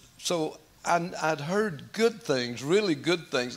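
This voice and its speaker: A man talks very slowly yet with lively intonation. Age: 80s+. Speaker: pastor. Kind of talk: testimony. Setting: church. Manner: halting.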